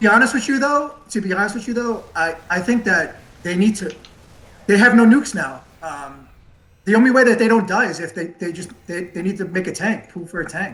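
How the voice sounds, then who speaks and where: With a New York accent, a man talks at a fairly quick pace in a high, bright and sharp voice, his intonation lively and his loudness swinging widely. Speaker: esports caster. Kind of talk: live commentary.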